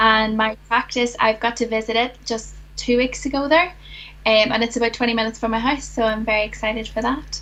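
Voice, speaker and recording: Her pitch fairly high and her intonation fairly even, a woman talks at a fairly quick pace. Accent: Northern Irish. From Northern Ireland. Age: 20s. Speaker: dentistry graduate. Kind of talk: casual interview chat.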